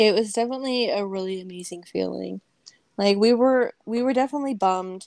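At a fairly quick pace, a woman with an American accent speaks in a normal speaking voice at medium pitch with ordinary pitch variation. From Las Vegas, Nevada, US. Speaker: women's football player. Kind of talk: casual chat.

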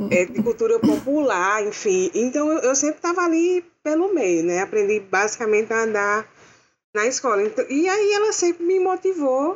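A woman talks fairly slowly, and her pitch rises and falls very widely. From interior of Paraíba, Brazil. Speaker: film art director and costume designer. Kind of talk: casual chat.

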